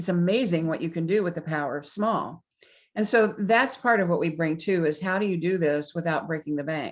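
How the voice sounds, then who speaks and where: This woman has an ordinary speaking voice, fairly low in pitch with ordinary pitch variation. She talks at a fairly quick pace against a quiet background. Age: 60s. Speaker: business consultant. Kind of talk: interview.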